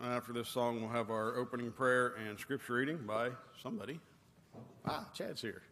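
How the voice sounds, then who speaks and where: The speech runs at a fairly quick pace with fairly even intonation, and noticeable background noise sits underneath. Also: man, long, frequent pauses. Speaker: song leader. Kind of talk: announcing songs in worship service. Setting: church.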